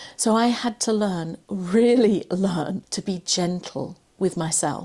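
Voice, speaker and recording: Her voice is somewhat breathy at a medium pitch, with ordinary pitch variation and an English accent. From England. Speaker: cancer survivor and confidence coach. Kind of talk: personal talk to camera.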